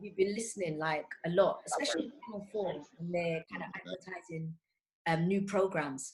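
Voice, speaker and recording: Fairly quick talk from a woman with a medium-pitched voice, ordinary pitch variation and big swings in loudness. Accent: London. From London, Tottenham. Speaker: voice over actor and English teacher. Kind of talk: interview.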